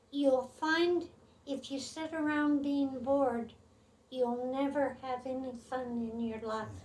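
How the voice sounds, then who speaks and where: A woman's high-pitched voice at a very slow pace, with fairly even intonation. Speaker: great-grandmother. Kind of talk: interview answer.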